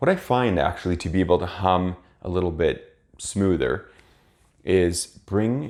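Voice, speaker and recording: A man talks at a fairly slow pace with a very deep, low pitch. The recording is very clean, with a silent background. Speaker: piano teacher. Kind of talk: tutorial. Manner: instructive.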